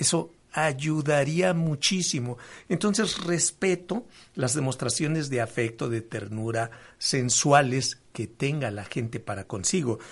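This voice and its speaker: Very slowly, a man speaks in a somewhat breathy, fairly high voice with lively intonation. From Mexico, Veracruz. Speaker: sex therapist and educator. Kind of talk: radio interview.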